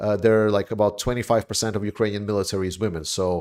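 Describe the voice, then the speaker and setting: A man speaks very fast with a fairly low voice and a non-native accent. His intonation stays fairly even. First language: not English. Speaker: livestream host, war commentator. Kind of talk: livestream Q&A. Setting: livestream. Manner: halting, many fillers; casual.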